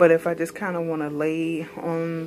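A woman with an ordinary speaking voice, fairly low in pitch, at a moderate pace amid light background noise. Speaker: home room tour narrator. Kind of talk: casual vlog chat. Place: home room. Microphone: phone near.

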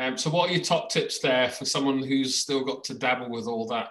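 A man with a British accent talks at a moderate pace and medium pitch. His pitch variation is ordinary, and the background is quiet. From UK. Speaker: education blogger and podcast host. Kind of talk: casual interview. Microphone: video call.

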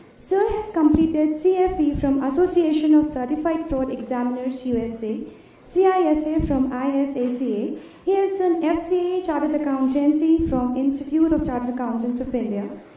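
A woman's high-pitched voice at a moderate pace, with ordinary pitch variation and audible room echo. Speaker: student event host. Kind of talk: formal introduction speech. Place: hall. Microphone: podium.

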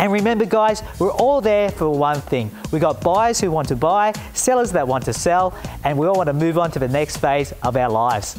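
Faint music plays in the background as a man with an Australian accent speaks at a fairly high pitch. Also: moderate pace. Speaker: auctioneer and TV presenter. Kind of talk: informative corporate presenter talk with tips for buying and selling at auction. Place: garden. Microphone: lapel.

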